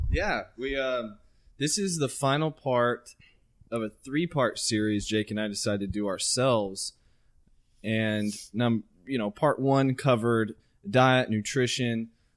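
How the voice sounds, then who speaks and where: A man with an American accent at a medium pitch, fairly slow pace, ordinary pitch variation and long, frequent pauses, on a very clean recording with a silent background. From Central Texas. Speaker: podcast co-host. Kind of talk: casual chat.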